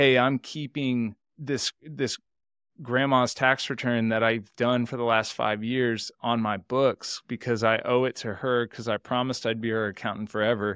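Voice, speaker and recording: A man with an American accent speaks in a plain, everyday voice at medium pitch and a moderate pace, his intonation fairly even, on a very clean recording with a silent background and a dry, close sound with no echo. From Texas, Houston. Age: 30s. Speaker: accountant and entrepreneur. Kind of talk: interview conversation.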